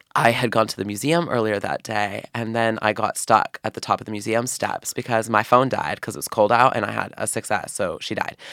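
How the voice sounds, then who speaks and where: Speaking with an American accent, a man talks at a fairly quick pace with hardly any pauses. His medium-pitched voice has vocal fry, a bright, sharp tone and ordinary pitch variation. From Oregon. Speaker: university student. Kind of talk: casual chat. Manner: frequent ums, hesitant fillers.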